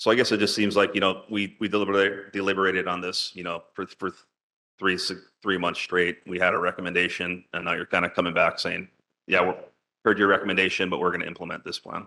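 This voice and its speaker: A man speaks very fast in a very deep, low pitch. His tone is bright and sharp, his intonation monotone and flat. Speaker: neighborhood board member. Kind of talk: public meeting discussion.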